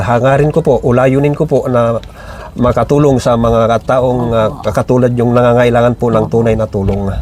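A man talks at a moderate pace with a medium pitch, fairly even intonation, and very even loudness. Noticeable background noise runs under his voice. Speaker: charity vlogger. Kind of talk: vlog interview questions. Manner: polite, respectful.

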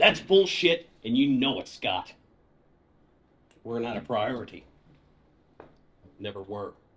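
Doing a gruff, put-on character voice at medium pitch, a man speaks at a fairly slow pace with long, frequent pauses. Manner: gruff, blunt, swearing.

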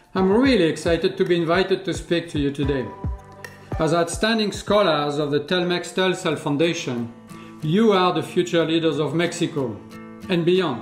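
A man with a high-pitched voice speaks at a moderate pace, his pitch varying in an ordinary way. Faint music plays behind him, and the room has an audible echo. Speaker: guest. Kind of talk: prepared speech. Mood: warm, upbeat. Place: home room.

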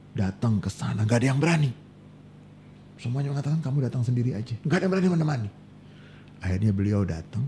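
A man talks at a very fast pace. His pitch swings very widely over light background noise. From Indonesia. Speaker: Islamic scholar; guest. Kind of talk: casual chat. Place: studio. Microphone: studio mic.

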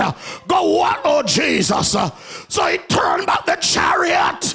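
A man shouts in a Jamaican accent. His pace is moderate. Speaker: pastor. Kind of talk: Sunday sermon preaching. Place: church. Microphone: handheld.

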